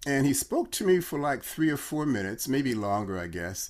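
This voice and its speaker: A man with an American accent speaks at medium pitch and a fairly quick pace, his pitch swinging very widely. The recording is very clean with a silent background. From Chicago. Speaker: brand consultant, former doctor. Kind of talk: casual interview.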